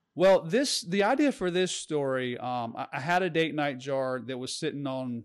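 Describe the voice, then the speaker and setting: An unremarkable speaking voice with an American accent, ordinary pitch variation and hardly any pauses. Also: man. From New Bern, North Carolina. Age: 40s. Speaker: novelist. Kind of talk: casual interview.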